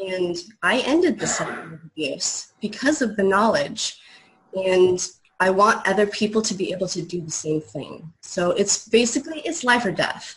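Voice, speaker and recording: This woman talks at a moderate pace in a medium pitch, her intonation lively. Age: 30s. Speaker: inspirational speaker. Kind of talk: testimony. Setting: video call. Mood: earnest, determined. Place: home room. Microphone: video call.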